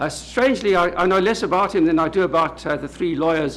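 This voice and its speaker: A man in a South African accent, with ordinary pitch variation and audible room echo. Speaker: law professor. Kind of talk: lecture. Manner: halting, with frequent uh.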